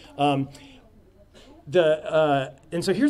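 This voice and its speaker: A man's voice against noticeable background noise. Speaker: game designer giving a conference talk. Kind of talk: lecture. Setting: stage at a conference with audience. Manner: halting, many fillers.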